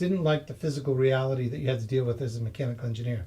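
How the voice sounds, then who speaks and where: This man has an American accent and a dark, mellow tone at medium pitch. He talks very fast, somewhat breathy, with ordinary pitch variation. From US, Massachusetts. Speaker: property investor and software engineer. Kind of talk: interview.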